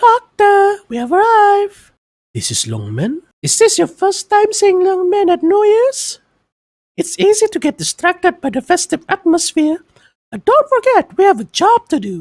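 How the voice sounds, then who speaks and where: This is a put-on character voice, squeaky and extremely high in pitch. It moves along at a moderate pace. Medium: read story. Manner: polite, informative.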